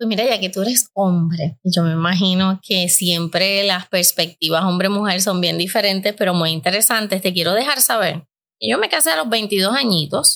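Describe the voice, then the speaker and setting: A woman with a normal speaking voice, medium pitch and ordinary pitch variation, at a moderate pace with hardly any pauses and very even loudness, on a very clean recording with a silent background. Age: 50s. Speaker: podcast host and life coach. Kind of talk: casual chat.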